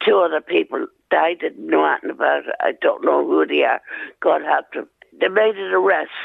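A woman with a rural Irish accent at a fairly quick pace. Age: 70s. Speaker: crime victim. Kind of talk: recorded interview, testimony. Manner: halting.

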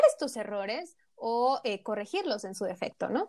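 A woman with a Mexican accent swings very widely in pitch, in a very clean recording with a silent background. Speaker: nutritionist podcast co-host. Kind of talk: casual chat.

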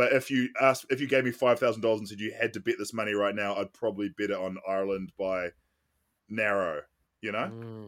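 Speaking at a fairly quick pace in a New Zealand accent, a man keeps a fairly low pitch and fairly even intonation. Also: very clean recording, silent background. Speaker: podcast host. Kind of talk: casual chat.

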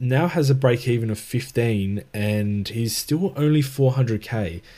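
On a very clean recording with a silent background, a man with an Australian accent and a dark, mellow tone talks at a moderate pace with ordinary pitch variation. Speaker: fantasy football co-host. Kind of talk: casual chat.

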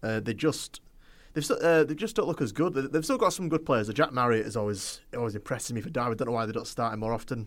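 On a very clean recording with a silent background, a man with a medium pitch speaks at a very fast pace with lively intonation. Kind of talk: casual chat. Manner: animated, talking over others, halting.

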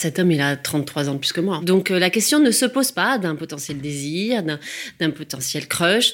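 With very wide pitch swings, the speaker moves at a fairly slow pace on a very clean recording with a silent background. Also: woman, fairly low pitch for a woman. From provincial France. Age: 40s. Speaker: life coach. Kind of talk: personal testimony.

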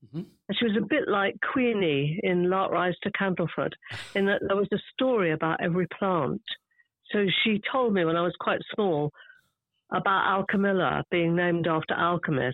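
In a southern English accent, a woman speaks at a moderate pace with a medium pitch and ordinary pitch variation. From London, England. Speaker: garden writer. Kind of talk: casual chat. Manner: talkative.

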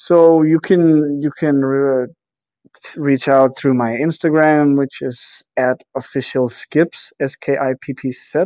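This man talks at a very slow pace with a Danish accent. His voice is fairly high in pitch, with fairly even intonation. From Denmark, near Aarhus. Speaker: travel photographer and life coach. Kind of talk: interview.

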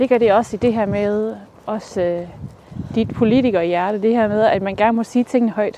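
Noticeable background noise sits behind a woman with a fairly high pitch. She talks at a moderate pace with fairly even intonation. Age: 30s. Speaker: podcast host. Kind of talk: casual interview. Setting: outdoors, walking.

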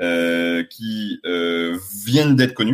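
His pitch shifts in an ordinary way. A man talks at a very slow pace. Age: 30s. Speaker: sommelier, sales director. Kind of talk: casual interview. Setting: outdoors in the sun.

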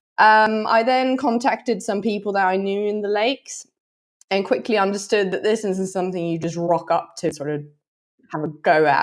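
A woman with a Norwegian accent, medium pitch, moderate pace, and ordinary pitch variation. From Norway. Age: 30s. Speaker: trail and fell runner. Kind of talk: interview.

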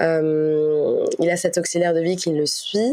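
Fairly even intonation from a woman with a fairly low pitch. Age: 20s. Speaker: podcast guest sharing personal story. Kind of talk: testimony. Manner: hesitant, many fillers and repetitions.

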